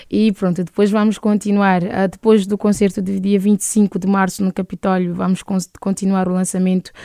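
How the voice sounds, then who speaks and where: The sound is dry and close, with no echo. A woman speaks at a medium pitch in a dark, mellow tone with monotone, flat intonation. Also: moderate pace. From Cape Verde, interior of Santiago island. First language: Cape Verdean Creole (speaking Portuguese). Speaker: singer. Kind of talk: interview.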